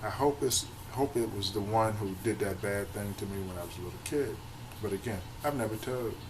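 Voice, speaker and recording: A man speaks at a moderate pace. Audible room echo and noticeable background noise can be heard. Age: 50s. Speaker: abuse survivor vlogger. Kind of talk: personal testimony vlog. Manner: halting.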